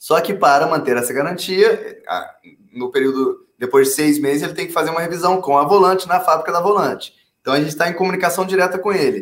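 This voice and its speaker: Very fast, high-pitched male speech with ordinary pitch variation. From Brasília, Brazil, with childhood abroad (London, Hong Kong). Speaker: startup founder and CEO. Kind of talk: interview.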